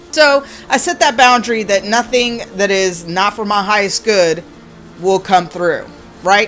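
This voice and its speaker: Music plays in the background as a woman speaks at a medium pitch and a fairly slow pace. Her tone is animated and her intonation lively. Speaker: spiritual content creator. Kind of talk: casual vlog monologue.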